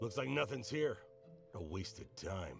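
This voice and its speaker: Over clear background music, a man uses a raspy, put-on character voice at a moderate pace. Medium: video game.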